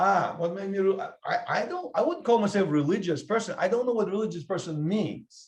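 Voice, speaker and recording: A man speaks loudly in an animated tone at a fairly quick pace. His pitch is high, with ordinary variation. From Russia. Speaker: podcast host. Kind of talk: casual debate.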